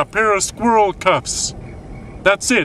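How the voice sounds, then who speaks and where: Light background noise under a man's voice, the sound dry with no echo. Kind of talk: mockumentary interview monologue. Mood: frustrated, complaining. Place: car.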